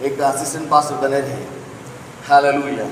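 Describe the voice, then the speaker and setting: A man's speech is heard with audible room echo and noticeable background noise. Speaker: pastor. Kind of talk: sermon.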